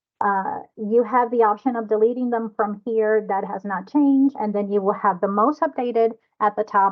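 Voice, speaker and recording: Her fairly high pitch and fairly even intonation mark this woman's speech. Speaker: software trainer. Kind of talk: online training session. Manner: fast.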